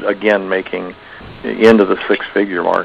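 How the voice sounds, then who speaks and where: Over noticeable background noise, a man with a fairly low voice talks at a moderate pace. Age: 60s. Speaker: factoring business owner and trainer. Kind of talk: seminar talk. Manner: conversational with fillers.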